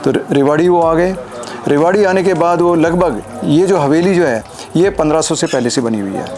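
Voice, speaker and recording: Over music in the background and with audible room echo, a man with a high pitch talks at a moderate pace with ordinary pitch variation. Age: 70s. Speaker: descendant of historic figure, local historian. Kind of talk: interview, oral history.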